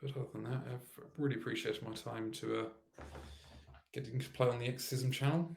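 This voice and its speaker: At a fairly quick pace, a man with a medium pitch talks in a somewhat breathy voice with fairly even intonation. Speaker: programmer live-streaming coding. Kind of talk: live coding stream. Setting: livestream. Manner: halting.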